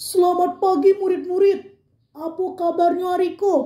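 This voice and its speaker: A woman puts on a character voice. It is extremely high in pitch and comes at a fairly slow pace. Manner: fatherly.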